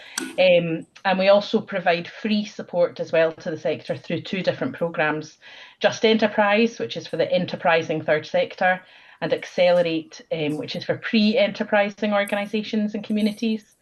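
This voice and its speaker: Somewhat breathy, a woman's medium-pitched voice varies in pitch in an ordinary way against a quiet background. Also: moderate pace. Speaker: social enterprise consultant. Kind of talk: presentation.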